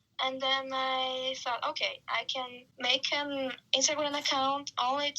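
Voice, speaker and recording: The speaker uses a raised, projected voice with a Brazilian accent and talks at a very slow pace. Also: woman. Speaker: marketing worker and photographer. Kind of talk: podcast interview.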